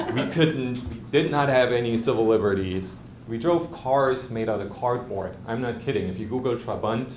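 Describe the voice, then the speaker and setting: A man at a medium pitch and moderate pace, hardly any pauses, ordinary pitch variation, with audible room echo and noticeable background noise. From East Germany. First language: German. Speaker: lawyer. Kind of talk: prepared speech. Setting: club meeting with audience.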